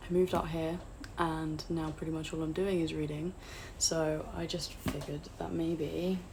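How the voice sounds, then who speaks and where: A woman at a fairly slow pace, amid noticeable background noise and audible room echo. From England, outside London. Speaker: booktuber. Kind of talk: casual vlog chat. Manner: hesitant, with fillers.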